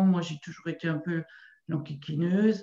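A woman with a fairly low pitch talks in a room with audible echo. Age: 60s. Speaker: qigong practitioner. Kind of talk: testimony. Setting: video call. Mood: emotional, moved. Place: home room. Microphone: video call.

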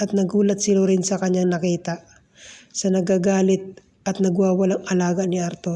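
Text read aloud in a natural voice

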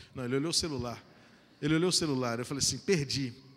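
This man talks at a very fast pace. His tone is bright and sharp, with ordinary pitch variation. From Brazil. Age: 40s. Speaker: pastor. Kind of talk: sermon. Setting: church. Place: church. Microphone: handheld.

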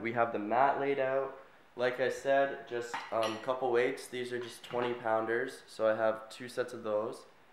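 With audible room echo and light background noise, a man talks at a fairly slow pace with fairly even intonation. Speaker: vlogger. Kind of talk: casual vlog tutorial. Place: home room. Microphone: phone near.

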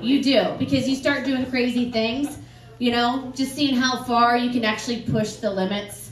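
A woman's high-pitched voice with an American accent at a moderate pace, plus audible room echo and light background noise. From US Northeast. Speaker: comedian. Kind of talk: stand-up. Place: bar. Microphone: camera far.

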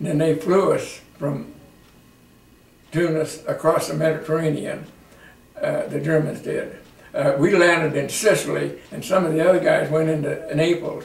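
A man speaks with an American accent, leaving long, frequent pauses. Audible room echo is present. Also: moderate pace. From Iowa. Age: 80s+. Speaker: war veteran. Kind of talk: interview answer. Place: home room. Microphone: camera far.

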